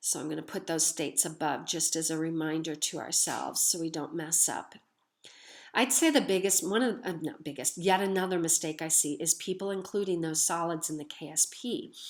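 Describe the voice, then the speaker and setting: A woman talks at a fairly quick pace in a normal speaking voice, with fairly low pitch and ordinary pitch variation. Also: quiet background. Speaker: chemistry teacher. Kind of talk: lecture. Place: home room. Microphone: webcam.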